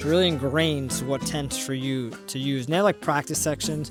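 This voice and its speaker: Very fast speech from a man with ordinary pitch variation, with music in the background. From Puerto Rican heritage, grew up not speaking Spanish. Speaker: language learner. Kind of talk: casual talk to camera. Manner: hesitant, rambling.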